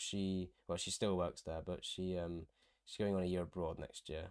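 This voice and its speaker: A man with an English accent and a very deep, low pitch is heard in a very clean recording with a silent background. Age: 20s. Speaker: university student and streamer. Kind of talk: casual livestream chat. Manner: casual, hesitant with fillers.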